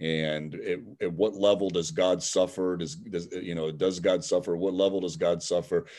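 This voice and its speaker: A man speaks at a moderate pace with a Midwestern US accent, his very deep, low pitch carrying a dark, mellow tone. His intonation stays fairly even over a quiet background. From Cleveland, Ohio. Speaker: seminary professor. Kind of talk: interview. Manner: halting, many fillers.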